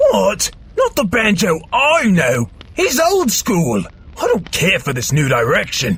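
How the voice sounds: A put-on character voice at a fairly slow pace, over light background noise. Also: man, high pitch for a man.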